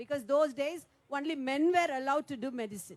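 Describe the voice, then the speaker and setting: A woman speaks in a high voice with a Tamil Nadu accent. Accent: Tamil Indian English. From Tamil Nadu, India. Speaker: politician. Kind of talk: panel speech. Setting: round-table meeting.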